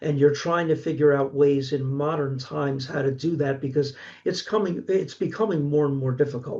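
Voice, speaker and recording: In a Philadelphia accent, a man speaks at a moderate pace with a fairly high pitch. His voice is somewhat breathy, with a dark, mellow tone. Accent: Philadelphia-area American. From Pennsylvania, Delaware County. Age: 60s. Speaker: horror author and college instructor. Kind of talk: casual interview. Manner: halting, frequent self-repeats.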